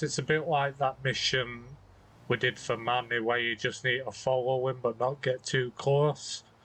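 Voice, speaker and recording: Speaking at a moderate pace, a man holds a medium pitch with monotone, flat intonation. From Britain. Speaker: video game let's play commentator. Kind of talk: gameplay commentary.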